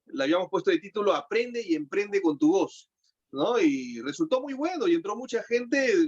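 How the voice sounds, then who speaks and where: This man talks at a moderate pace in an extremely high pitch, with very wide pitch swings. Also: dry, close sound with no echo. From Peru. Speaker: broadcaster, voice-over artist and voice coach. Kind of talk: interview answer.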